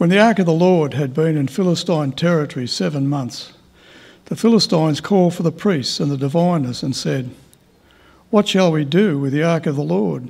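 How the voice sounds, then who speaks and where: A man talks with an Australian accent at a moderate pace. His pitch sits fairly high. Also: lively intonation. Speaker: lay Bible reader. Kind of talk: reading aloud. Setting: church. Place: hall.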